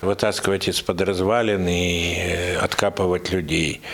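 A man speaks at a fairly slow pace. Background noise is noticeable throughout. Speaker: Red Cross rescue team commander. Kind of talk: monologue interview.

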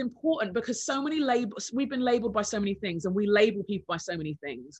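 Talking at a very fast pace in a London accent, a woman has a fairly high, somewhat breathy voice with very wide pitch swings. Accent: British (London) English. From England, London. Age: 40s. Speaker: author and podcast host. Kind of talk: interview.

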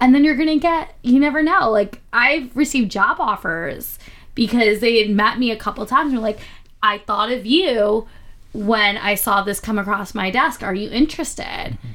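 With an American accent, a woman of fairly high pitch speaks at a moderate pace. Her intonation is lively, and she has an ordinary speaking voice. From Philadelphia, Pennsylvania. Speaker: podcast co-host. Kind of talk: casual chat.

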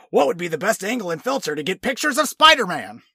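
In a put-on character voice, a man talks at a very fast pace with a high pitch and very wide pitch swings. His voice is raised and projected. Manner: silly voice.

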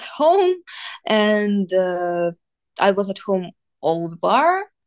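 Here a woman speaks very slowly with lively intonation. The sound is dry and close, with no echo. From Ukraine, Kyiv. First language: Ukrainian or Russian. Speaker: student. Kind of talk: interview. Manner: hesitant, many fillers.

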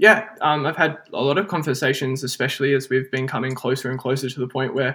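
A man at a very fast pace in a very clean recording with a silent background. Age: 20s. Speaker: psychology and linguistics student. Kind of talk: casual chat.

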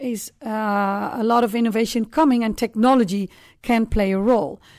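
A woman's fairly high pitch with fairly even intonation at a moderate pace, on a very clean recording with a silent background. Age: 50s. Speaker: supply chain consultant and company founder. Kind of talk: interview. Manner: halting with frequent fillers.

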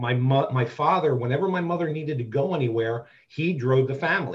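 Here a man with an American accent talks at a moderate pace in a fairly high pitch. His voice is somewhat breathy, with ordinary pitch variation. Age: 50s. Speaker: BDSM community dominant and mentor. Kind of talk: interview conversation.

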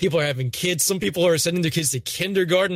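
In a very clean recording with a silent background and a dry, close sound with no echo, a man speaks somewhat breathily with ordinary pitch variation. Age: 20s. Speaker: gaming YouTuber. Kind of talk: casual chat.

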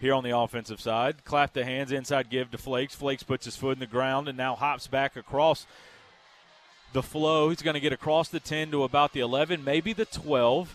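Here is a fairly high-pitched man with a Southern US accent and ordinary pitch variation. The sound is dry and close, without echo. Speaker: radio play-by-play announcer. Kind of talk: live play-by-play football commentary. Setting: stadium broadcast booth. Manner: rapid, clipped play-by-play bursts; excitable on big plays.

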